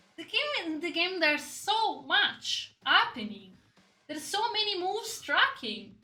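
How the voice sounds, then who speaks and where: Extremely high in pitch, a woman uses a raised, projected voice with a bright, sharp tone, very wide pitch swings and big swings in loudness, all at a fairly slow pace. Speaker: gaming content creator. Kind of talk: casual commentary to camera. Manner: halting.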